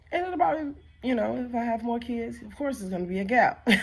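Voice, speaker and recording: A woman's fairly quick speech with vocal fry and very wide pitch swings. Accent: American. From Chicago, US Midwest. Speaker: vlogger and nursing assistant. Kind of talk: casual vlog monologue.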